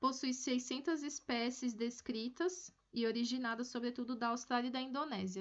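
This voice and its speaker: This woman's voice sits at a high pitch. Her intonation stays fairly even. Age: 20s. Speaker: forestry engineering student. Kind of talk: research presentation. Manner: halting, with fillers and repetitions.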